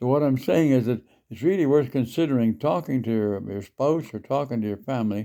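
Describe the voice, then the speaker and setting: A man's medium-pitched voice with a dark, mellow tone, at a fairly quick pace, on a very clean recording with a silent background. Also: ordinary pitch variation. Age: 80s+. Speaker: senior sharing life advice online. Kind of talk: casual advice talk. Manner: halting, with many fillers.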